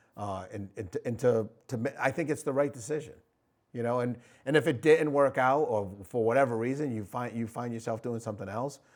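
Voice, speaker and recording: Over a very clean recording with a silent background, a man talks at a fairly quick pace in a plain, everyday voice with an American accent. His pitch is medium, with ordinary pitch variation. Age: 50s. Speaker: state legislator and talk show host. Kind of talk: casual interview chat.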